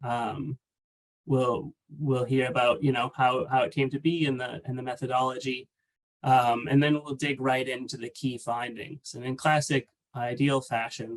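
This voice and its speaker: A man talks at a moderate pace with a medium pitch and fairly even intonation. He has an ordinary speaking voice. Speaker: webinar presenter. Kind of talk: webinar presentation. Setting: online webinar.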